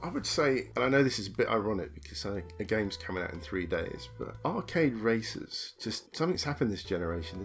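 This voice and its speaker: Fast-talking man with a British accent speaks very quickly, with very wide pitch swings. Vocal fry runs through his voice. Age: 40s. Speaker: gamer. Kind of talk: casual chat.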